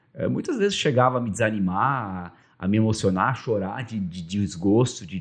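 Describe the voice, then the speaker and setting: A man speaks at a moderate pace. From Vale do Taquari, southern Brazil (German-Brazilian rural area). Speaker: radio broadcaster and media executive. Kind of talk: interview conversation. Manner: halting, repeats words.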